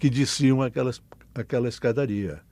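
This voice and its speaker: A man's dark, mellow tone at a moderate pace. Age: 80s+. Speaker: mental health activist. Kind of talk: interview testimony. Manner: halting, repeats words.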